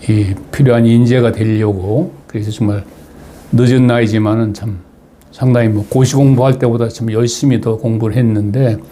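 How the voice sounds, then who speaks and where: A man speaks at a medium pitch with fairly even intonation and a moderate pace. Noticeable background noise runs underneath. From Chungcheong, South Korea (Asan, Daejeon). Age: 80s+. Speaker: retired diplomat, political commentator. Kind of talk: personal talk to viewers. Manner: halting, many fillers.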